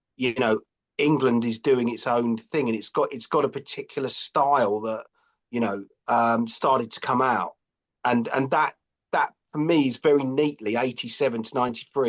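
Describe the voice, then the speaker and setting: Fairly even intonation in a London accent, with a dry, close sound and no echo. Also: man. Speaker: author and graphic designer. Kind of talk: podcast interview.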